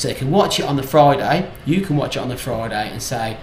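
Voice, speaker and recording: Speaking at a fairly quick pace with an English Midlands accent, a man with a fairly high voice is heard over noticeable background noise and audible room echo. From English Midlands, South Staffordshire. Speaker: vlogger. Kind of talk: casual chat to camera. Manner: halting, with many fillers and restarts.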